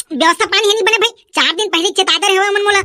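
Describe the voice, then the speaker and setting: A woman does a cartoonish character voice, squeaky and extremely high, racing at a very fast pace with fairly even intonation. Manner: bargaining, cheeky.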